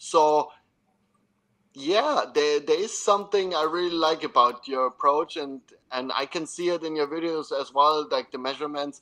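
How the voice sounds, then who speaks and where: A man with a German accent, a fairly high pitch, a bright, sharp tone, ordinary pitch variation and a moderate pace. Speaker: podcast host and football coach. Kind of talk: expert interview. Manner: halting.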